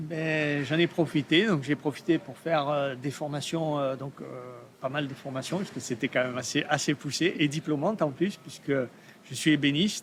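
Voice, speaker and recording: A man talks at a moderate pace, his voice fairly high-pitched with ordinary pitch variation. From Provence, southern France. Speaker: artist, steel sculptor. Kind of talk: podcast interview. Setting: art fair. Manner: hesitant, many fillers.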